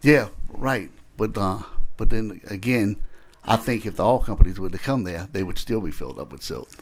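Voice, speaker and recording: Speaking in a South Louisiana accent, a man with a fairly low pitch keeps a moderate pace and lively intonation. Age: 60s. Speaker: state legislator. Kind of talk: committee hearing questioning. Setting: legislative committee room. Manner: halting.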